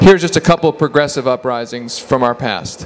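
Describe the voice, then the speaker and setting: With noticeable background noise behind him, a man speaks with ordinary pitch variation. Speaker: author and political journalist. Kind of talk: lecture with slides. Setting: office presentation with audience. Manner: fast.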